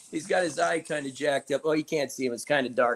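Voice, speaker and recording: An American-accented man talks at a very fast pace. The sound is dry and close, with no echo. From US Midwest, Indiana. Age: 50s. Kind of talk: casual chat.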